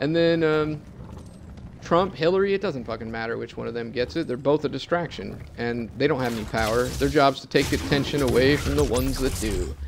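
A man with a plain, everyday voice talks at a fairly quick pace. His pitch is medium and his intonation lively. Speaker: gaming YouTuber. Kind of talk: profane political rant over gameplay. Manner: angry, run-on, expletive-laden tirade; breathless and escalating, laughing bitterly at the absurdity.

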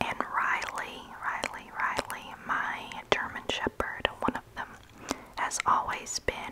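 A woman speaks in a whisper. Her pace is very slow. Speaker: home vlogger. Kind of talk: casual vlog chat. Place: home room. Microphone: earbuds.

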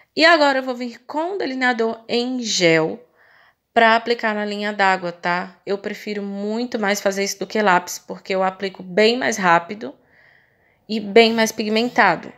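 A woman speaks at a moderate pace with a fairly high pitch and ordinary pitch variation. The background is quiet. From Brazil. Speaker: makeup artist. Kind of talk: tutorial. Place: shop.

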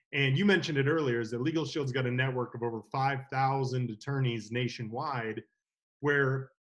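Somewhat breathy and fairly high in pitch, a man speaks at a moderate pace with ordinary pitch variation against a quiet background. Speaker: legal services sales associate. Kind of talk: interview. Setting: video call. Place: home room. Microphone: video call.

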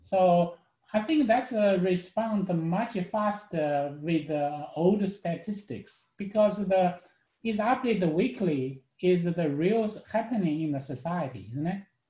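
A man speaks at a fairly slow pace. The background is quiet, though room echo can be heard. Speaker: student. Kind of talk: casual chat. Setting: video call. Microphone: video call.

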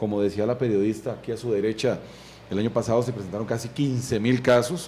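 A man talks at a fairly quick pace, his dark, mellow tone somewhat breathy. His intonation stays fairly even over light background noise. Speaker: interview guest. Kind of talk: interview answer. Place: studio. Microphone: studio mic.

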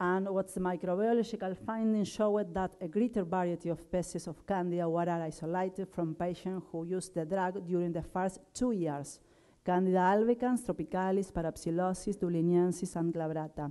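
The voice has a dark, mellow tone and fairly even intonation, with an Argentine accent. It moves at a fairly quick pace with hardly any pauses over a quiet background. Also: woman. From Argentina. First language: Spanish. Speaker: dentist and microbiology researcher. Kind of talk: conference talk. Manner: halting, with frequent fillers. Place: hall. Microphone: podium.

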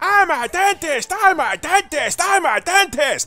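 Someone shouts in a shrill, put-on character voice. The pace is fairly slow. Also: man, extremely high pitch for a man. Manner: repetitive, yelling.

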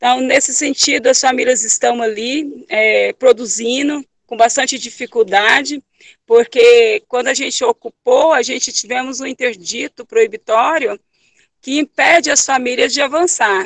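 A woman speaks at a high pitch and a fairly slow pace with ordinary pitch variation. The sound is dry with no echo, over a quiet background. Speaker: landless rural worker activist. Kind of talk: testimony. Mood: earnest, serious. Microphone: video call.

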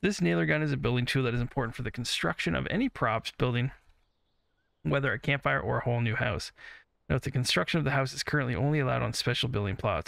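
Talking at a very fast pace with vocal fry, a man is heard on a very clean recording with a silent background. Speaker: gaming YouTuber. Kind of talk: gameplay commentary. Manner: laid-back, not freaking out.

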